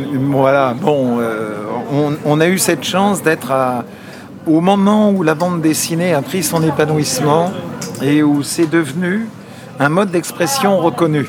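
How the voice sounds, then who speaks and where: The speech is fairly slow, with long, frequent pauses and very even loudness. Pitch varies in an ordinary way over noticeable background noise. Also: man, fairly high pitch for a man. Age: 70s. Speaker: comic book artist. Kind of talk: interview.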